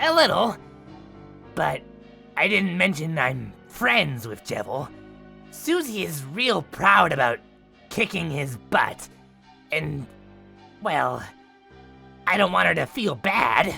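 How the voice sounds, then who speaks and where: A man's cartoonish character voice, fairly high in pitch, at a fairly slow pace with long, frequent pauses and clear music in the background. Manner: bubbly, upbeat.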